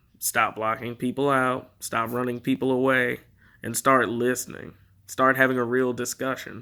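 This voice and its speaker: On a very clean recording with a silent background, a man with an American accent speaks at a medium pitch and moderate pace in a bright, sharp, flat monotone. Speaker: political commentator. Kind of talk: political monologue.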